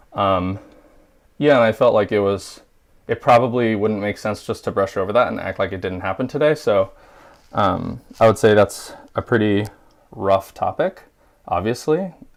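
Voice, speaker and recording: On a very clean recording with a silent background, a man speaks at a moderate pace and fairly low pitch, with ordinary pitch variation and long, frequent pauses. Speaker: cooking livestream host. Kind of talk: live cooking stream, casual talk. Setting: livestream. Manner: casual, filler-heavy.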